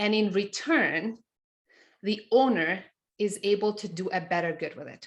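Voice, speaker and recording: A woman speaks at a moderate pace. Her pitch is medium, with ordinary variation. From Montenegro. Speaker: CFO and business teacher. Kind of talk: webinar presentation.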